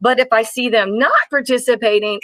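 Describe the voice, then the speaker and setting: A woman speaks in an animated, bright and sharp tone at a high pitch. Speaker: kindergarten teacher. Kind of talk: informal teaching advice video.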